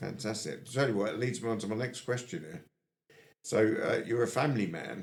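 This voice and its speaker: With audible room echo, a man of medium pitch speaks fairly quickly in a somewhat breathy voice with lively intonation. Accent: English. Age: 60s. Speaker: podcast host. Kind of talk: podcast interview. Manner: casual.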